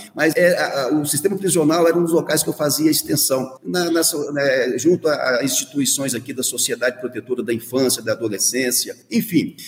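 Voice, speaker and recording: A man speaks at a moderate pace with hardly any pauses, his pitch fairly high and its variation ordinary. Noticeable background noise runs under the recording. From Minas Gerais, near Diamantina (rural Rio Vermelho). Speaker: university rector, dentist and professor. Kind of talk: radio interview. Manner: hesitant, many fillers.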